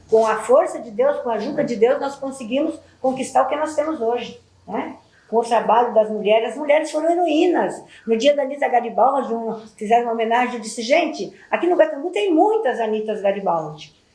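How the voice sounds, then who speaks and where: Amid audible room echo, a woman with a high pitch speaks at a fairly quick pace with lively intonation. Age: 70s. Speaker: community elder. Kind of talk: testimony. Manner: halting.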